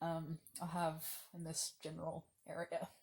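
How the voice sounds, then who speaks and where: The voice belongs to a woman and is fairly low. It sounds somewhat breathy. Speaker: video diarist. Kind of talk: casual vlog monologue. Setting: lying down. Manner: slow; halting.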